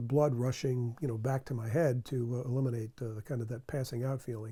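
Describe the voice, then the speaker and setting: The voice has a dark, mellow tone. It sounds somewhat breathy. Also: man. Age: 60s. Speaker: cardiac arrest survivor. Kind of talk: testimony.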